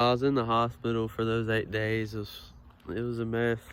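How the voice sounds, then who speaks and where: At a moderate pace, a man with an unremarkable speaking voice talks at a fairly low pitch. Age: young. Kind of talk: casual personal story to camera.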